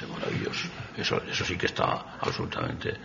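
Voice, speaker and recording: A man speaks at a fairly quick pace with noticeable background noise behind him. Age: 70s. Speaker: poet. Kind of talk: talk with poetry reading. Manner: halting, stumbling over words.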